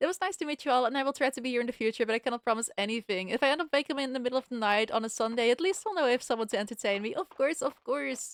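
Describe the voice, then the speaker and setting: At a very fast pace, a woman with a Dutch accent and a high pitch talks with ordinary pitch variation in a dry, close sound with no echo. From Netherlands. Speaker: game streamer. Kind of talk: casual livestream chat.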